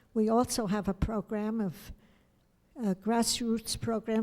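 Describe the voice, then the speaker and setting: A woman with a New York accent speaks at a fairly slow pace in a fairly high pitch, her tone dark and mellow and her intonation flat and monotone, on a very clean recording with a silent background. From New York City. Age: 80s+. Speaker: fencing coach. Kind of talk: acceptance speech. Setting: hotel banquet.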